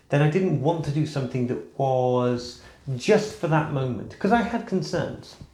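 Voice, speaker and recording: The delivery is an ordinary speaking voice at a moderate pace. Its intonation is lively. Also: man, fairly high pitch for a man. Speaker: crossdresser. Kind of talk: casual talk to camera.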